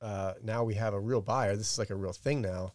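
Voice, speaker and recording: A man with an American accent, an ordinary speaking voice, fairly low pitch, moderate pace and fairly even intonation. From Texas, near Bryan-College Station. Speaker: entrepreneur. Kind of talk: casual chat. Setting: studio.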